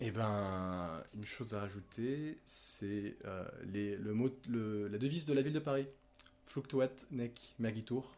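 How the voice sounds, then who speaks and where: Very slow male speech at a medium pitch, its pitch variation ordinary. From Monaco, southern France. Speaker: podcast guest sharing OCD experience. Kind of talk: personal testimony in casual conversation.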